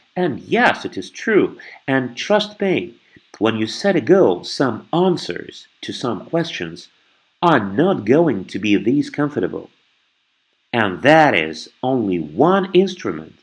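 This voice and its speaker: Vocal fry marks a man's very slow speech, which has very wide pitch swings. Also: medium pitch for a man. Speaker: NLP trainer / guest expert. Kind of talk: podcast interview answer.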